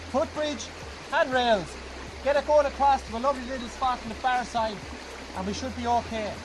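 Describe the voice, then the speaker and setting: Against noticeable background noise, a man speaks at a fairly quick pace with long, frequent pauses. His pitch is extremely high, with fairly even intonation. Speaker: bushcraft instructor. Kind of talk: outdoor tutorial. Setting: outdoors by a river. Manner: loud, shouting.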